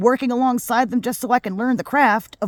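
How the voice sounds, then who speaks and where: This woman's voice is high-pitched and moves at a fairly quick pace. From US, second-generation Filipino family. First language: Tagalog. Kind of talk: casual vlog monologue. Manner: fast; rambling with snorts and awkward pauses.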